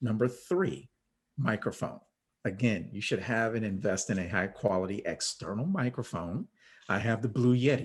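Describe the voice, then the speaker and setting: A man with an American accent speaks at a moderate pace and medium pitch. His voice is somewhat breathy, with lively intonation. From New York. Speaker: virtual training expert. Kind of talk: interview. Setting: video call.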